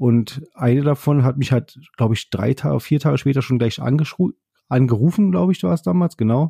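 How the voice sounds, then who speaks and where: A man's medium-pitched, dark, mellow voice, fairly slow in pace, with ordinary pitch variation and a dry, close sound with no echo. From Berlin, Germany. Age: 30s. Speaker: podcast host, train driver trainee. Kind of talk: casual monologue. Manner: hesitant, many fillers.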